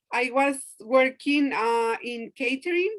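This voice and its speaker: A high-pitched woman's voice with a non-native accent comes through with a dry, close sound and no echo. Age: 40s. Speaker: direct sales consultant. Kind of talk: video call interview. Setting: video call.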